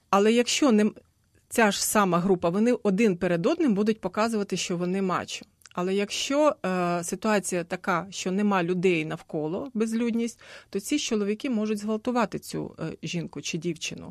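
A woman's normal speaking voice, medium in pitch with ordinary pitch variation, at a moderate pace, over a quiet background with a dry, close sound and no echo. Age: 50s. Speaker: gender adviser. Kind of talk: radio panel discussion. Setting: radio studio.

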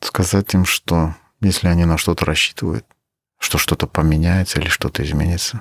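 In a Crimean accent, a man with a very deep, low pitch talks at a fairly quick pace. He leaves long, frequent pauses, and the sound is dry and close with no echo. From Uzbekistan (Crimean Tatar family). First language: Crimean Tatar (speaking Russian). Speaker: battalion commander, soldier. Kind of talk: interview testimony. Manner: halting.

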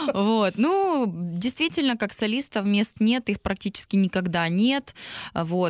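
A woman speaks in a plain, everyday voice at a fairly slow pace, with ordinary pitch variation. The sound is dry and close with no echo, over a quiet background. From Donetsk, eastern Ukraine. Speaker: singer. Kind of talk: interview.

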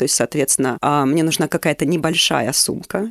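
Very deep and low in pitch, a woman speaks at a fairly quick pace with a dry, close sound and no echo. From Luhansk, eastern Ukraine. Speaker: psychologist and human rights worker. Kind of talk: personal testimony interview.

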